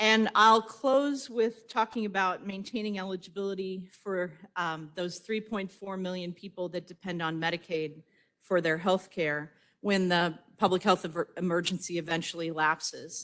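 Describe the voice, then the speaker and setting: At a moderate pace and medium pitch, a woman talks in a plain, everyday voice with ordinary pitch variation. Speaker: state health agency director. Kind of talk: conference speech.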